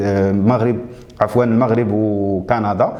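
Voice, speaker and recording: A man with a Moroccan accent at a moderate pace, with noticeable background noise. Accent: Moroccan Arabic (Darija). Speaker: YouTube show host. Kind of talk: casual presentation. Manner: hesitant, with fillers.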